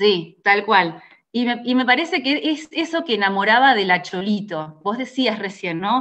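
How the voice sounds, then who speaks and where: A woman with a Rioplatense accent talks at a fairly slow pace. Her fairly high voice moves in very wide pitch swings. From Argentina. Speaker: radio journalist. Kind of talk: interview.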